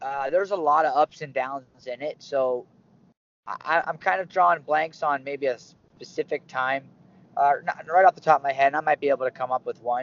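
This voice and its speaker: A man with an American accent and a plain, everyday voice speaks fairly quickly at a fairly high pitch with ordinary pitch variation. His loudness swings widely. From Pittsburgh, Pennsylvania. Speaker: wrestling coach. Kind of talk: casual interview.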